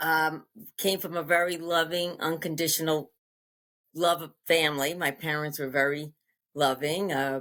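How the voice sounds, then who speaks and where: The speaker uses an American accent and a flat, monotone delivery at a moderate pace, in a very clean recording with a silent background. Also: woman, very deep, low pitch for a woman. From US Northeast, Long Island, New York. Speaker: interview guest sharing life story. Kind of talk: interview, personal testimony. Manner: halting, many fillers.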